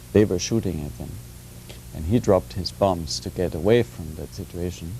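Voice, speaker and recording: A man speaks at a moderate pace with a very deep, low pitch. Noticeable background noise sits behind him. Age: 40s. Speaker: political foundation director. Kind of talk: TV panel discussion.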